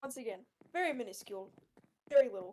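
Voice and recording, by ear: A woman with an American accent speaks fast, her intonation lively. Her tone is slightly mellow and her pitch fairly high.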